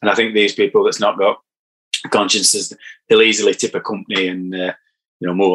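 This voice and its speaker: A man with a Yorkshire accent speaks at a fairly quick pace. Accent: broad Yorkshire. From Barnsley, Yorkshire. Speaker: damp surveyor and podcaster. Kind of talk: casual interview chat. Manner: halting, repeats words.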